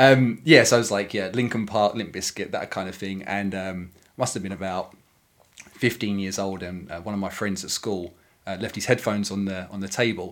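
A man talks at a fairly quick pace with fairly even intonation and a fairly low pitch. His loudness swings widely. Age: 30s. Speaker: board game designer. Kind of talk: casual chat. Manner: halting.

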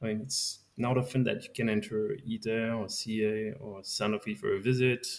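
A man talks in a French accent. His pitch is medium and his pace moderate. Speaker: science outreach volunteer. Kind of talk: interview. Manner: halting, repeats words.

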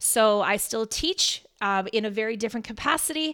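In a very clean recording with a silent background, a woman uses a normal speaking voice at a moderate pace with ordinary pitch variation. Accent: Canadian. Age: 40s. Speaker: fitness coach and speaker. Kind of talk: casual chat. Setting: home kitchen studio.

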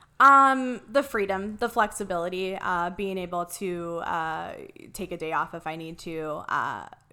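A woman speaks in an American accent. Her voice is fairly low with a bright, sharp tone. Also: very clean recording, silent background. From Ohio, small town. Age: 30s. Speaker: graphic designer and marketing business owner. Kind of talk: casual interview.

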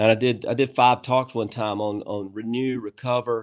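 A man with a plain, everyday voice talks at medium pitch and a moderate pace. His intonation stays fairly even against a quiet background. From USA, rural farm background. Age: 50s. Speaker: author and business leader. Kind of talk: casual interview chat.

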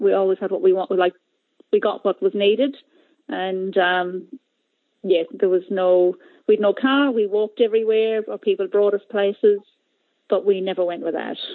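A woman with an Ulster accent speaks at medium pitch with ordinary pitch variation. She leaves long, frequent pauses. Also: moderate pace. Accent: Irish (Ulster border). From Ireland, Monaghan border area. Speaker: learning support teacher. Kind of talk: interview.

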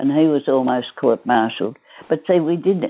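In an Australian accent, a woman with a very deep, low pitch speaks with lively intonation. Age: 80s+. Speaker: centenarian grandmother, former teacher. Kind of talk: interview, life story.

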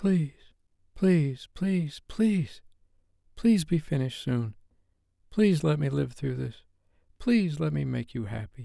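In a put-on character voice with vocal fry, a man speaks slowly with long, frequent pauses, a dark, mellow tone, a fairly high pitch and lively intonation on a very clean recording with a silent background.

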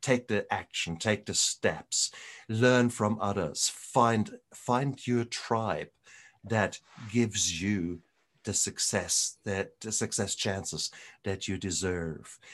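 Against a quiet background, a man speaks very slowly at a fairly low pitch. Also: ordinary pitch variation. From Germany. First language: German. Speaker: retired doctor and recovery podcaster. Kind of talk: interview conversation. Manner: animated.

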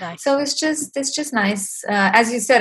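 A woman with a Romanian accent speaks in a somewhat breathy voice over a quiet background. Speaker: music industry community founder. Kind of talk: interview.

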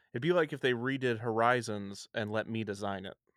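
Medium in pitch, this man has an unremarkable speaking voice with ordinary pitch variation at a fairly quick pace. The recording is very clean, with a silent background. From US Midwest, near Kansas City. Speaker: podcast host. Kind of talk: casual chat.

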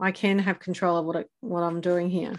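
A woman with an ordinary speaking voice talks at a moderate pace and medium pitch against a quiet background. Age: 50s. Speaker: podcast host and adventure coach. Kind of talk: casual interview.

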